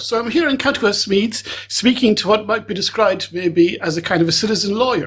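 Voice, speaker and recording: A man with a high pitch and lively intonation speaks at a fairly quick pace with hardly any pauses, over noticeable background noise. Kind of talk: interviewer questions.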